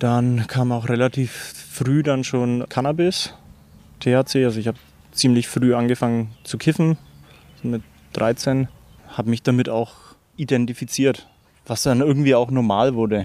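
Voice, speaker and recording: Here a man talks at a moderate pace, with long, frequent pauses. His medium-pitched voice has a dark, mellow tone and fairly even intonation. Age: 30s. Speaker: recovered drug user and club chairman. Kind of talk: interview.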